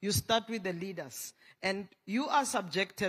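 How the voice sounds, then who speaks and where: The speaker has a Tswana accent. The pace is moderate. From South Africa. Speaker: panelist, LGBTI health advocate. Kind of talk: panel discussion.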